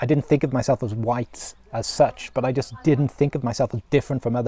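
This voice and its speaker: On a dry, close recording with no echo, a man with a somewhat breathy, dark, mellow, medium-pitched voice speaks fairly quickly with ordinary pitch variation. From Wales, South Wales Valleys. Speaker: vlogger. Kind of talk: personal reflection monologue. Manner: conversational with fillers and repetitions.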